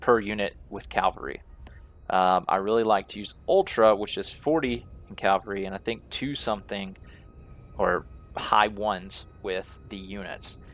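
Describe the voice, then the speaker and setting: A fairly low-pitched man at a moderate pace, with ordinary pitch variation, big swings in loudness and music in the background. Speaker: gaming youtuber. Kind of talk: gameplay commentary. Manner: casual with fillers.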